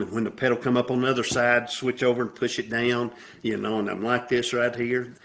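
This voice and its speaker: This is a man speaking. He talks with a Southern US accent. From US South. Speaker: military veteran, former alcoholic. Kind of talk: podcast interview.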